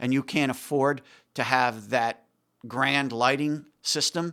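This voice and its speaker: A man talks in an ordinary speaking voice at medium pitch with fairly even intonation. The recording is very clean recording, silent background. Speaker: music technology expert. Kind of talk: casual chat.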